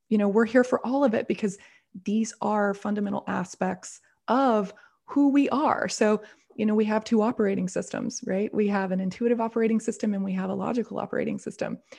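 With an American accent, a woman talks at a fairly quick pace in a fairly high pitch, her dark, mellow tone somewhat breathy and her intonation fairly even. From US South. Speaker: intuition coach and business owner. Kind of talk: interview conversation.

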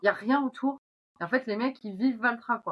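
At a fairly quick pace, a woman talks with ordinary pitch variation in an unremarkable speaking voice. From northern France, Oise. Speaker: agricultural machinery marketing manager. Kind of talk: casual interview.

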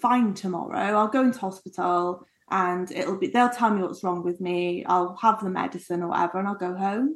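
A woman speaks with an English accent at a moderate pace. Her pitch is medium, with ordinary variation. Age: 30s. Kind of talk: casual chat.

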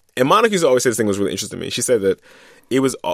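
A man with an American accent talks on a very clean recording with a silent background. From Philadelphia. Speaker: radio correspondent and podcast host. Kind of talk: casual chat.

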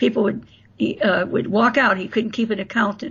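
A woman with an American accent and vocal fry, fairly high in pitch with ordinary variation, talking at a fairly quick pace. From Florida and Indiana, US. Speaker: author. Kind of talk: interview storytelling.

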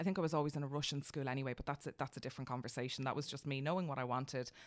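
This woman has a very deep, low pitch. She speaks with an Irish accent. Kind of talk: casual chat.

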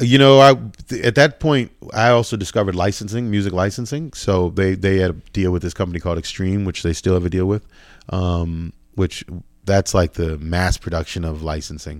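On a very clean recording with a silent background, a man with a very deep, low pitch talks at a fairly quick pace with lively intonation. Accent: American. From Boston, Dorchester/Roxbury. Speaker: music producer. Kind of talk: interview conversation.

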